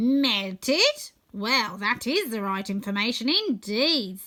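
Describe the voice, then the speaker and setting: Someone puts on a character voice, talking at a fairly slow pace with lively intonation. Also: woman, fairly high pitch for a woman. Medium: read story. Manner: wondering.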